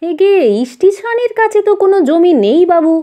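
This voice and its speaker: Putting on a character voice, a woman speaks in a squeaky, extremely high pitch at a moderate pace with lively intonation. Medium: read story. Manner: deferential, rustic.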